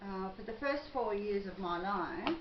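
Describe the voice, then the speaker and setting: A woman at a medium pitch with an Australian accent, noticeable background noise and audible room echo. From Australia, western Sydney. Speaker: psychic vlogger. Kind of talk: personal monologue vlog.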